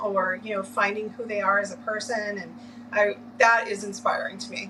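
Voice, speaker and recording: A woman with an American accent at a fairly high pitch and moderate pace, fairly even intonation, audible room echo and noticeable background noise. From Massachusetts (Lynn). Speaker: orientation and mobility specialist. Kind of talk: interview.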